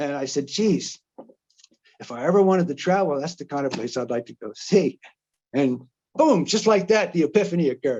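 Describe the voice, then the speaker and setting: A man with a New Jersey accent and a fairly high, dark, mellow voice at a fairly quick pace, with long, frequent pauses and big swings in loudness. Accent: New Jersey American. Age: 70s. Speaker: retired journalist and traveler. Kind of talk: presentation. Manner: halting, many fillers and restarts.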